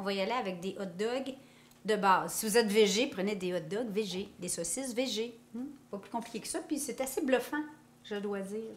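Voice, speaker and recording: A woman with a Quebec accent speaks at a moderate pace in a fairly high voice, her pitch moving in an ordinary way while her loudness swings widely and the room echo is audible. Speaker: cooking youtuber. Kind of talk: cooking tutorial. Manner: casual, chatty.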